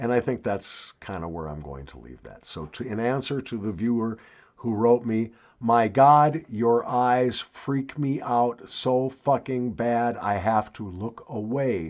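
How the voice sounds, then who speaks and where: At a fairly slow pace, a man with a plain, everyday voice speaks at a medium pitch, with lively intonation and big swings in loudness. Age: 60s. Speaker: YouTuber. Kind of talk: casual vlog monologue.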